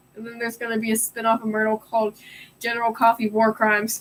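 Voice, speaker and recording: A woman mumbles loudly at a fairly quick pace. Her pitch sits fairly high. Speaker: streamer. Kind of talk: live stream reading puzzle book aloud with commentary. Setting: live stream. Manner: loud, mumbling.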